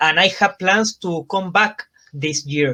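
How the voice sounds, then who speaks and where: Against a quiet background, a man with a Chilean Spanish accent speaks in a high pitch with ordinary variation. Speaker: professional wrestler. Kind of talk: interview. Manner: halting.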